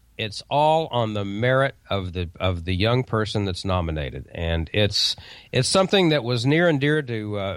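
An unremarkable speaking voice from a man with an American accent, fairly low in pitch, lively intonation, moderate pace. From Oklahoma. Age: 50s. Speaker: radio commercial producer and amateur radio news presenter. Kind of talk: casual interview chat on a live call-in radio show. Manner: relaxed, chatty, with frequent fillers and repeated words.

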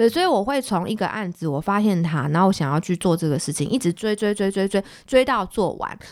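On a very clean recording with a silent background, a woman of medium pitch talks at a very fast pace with lively intonation. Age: 20s. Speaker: city councillor. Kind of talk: interview.

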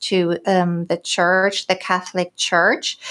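Someone speaks very slowly with a German accent. The recording is very clean, with a silent background. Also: woman. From Germany, Recklinghausen (Ruhr area, northwest). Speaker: business development executive. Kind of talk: casual interview.

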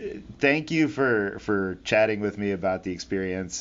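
A man's fairly low-pitched voice at a moderate pace, an ordinary speaking voice. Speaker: aviation podcast host. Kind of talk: interview.

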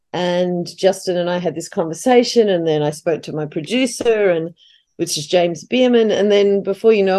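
A woman with an Australian accent talks at a fairly quick pace with lively intonation. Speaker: playwright. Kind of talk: casual chat. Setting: video call.

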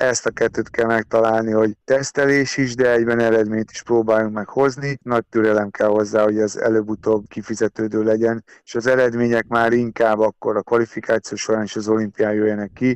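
This man's voice has monotone, flat intonation and a dry, close sound with no echo. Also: medium pitch for a man, fairly quick pace, hardly any pauses. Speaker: national fencing team coach. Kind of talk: radio interview.

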